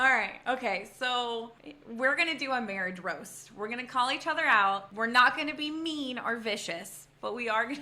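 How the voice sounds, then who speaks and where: The voice is loud, with a bright, sharp tone and lively intonation. Room echo is audible. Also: woman, high pitch for a woman, moderate pace. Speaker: podcast host. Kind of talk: casual chat.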